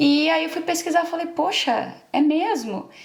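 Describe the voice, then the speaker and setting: This woman has a normal speaking voice and lively intonation. She speaks at a moderate pace. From Brazil, interior of São Paulo state. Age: 20s. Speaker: engineer who emigrated. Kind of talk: interview.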